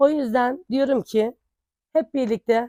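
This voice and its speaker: A woman's high-pitched voice, fairly even in intonation, with a dry, close sound and no echo. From Turkey, Denizli (Çardak). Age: 40s. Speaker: local election candidate. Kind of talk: campaign statement.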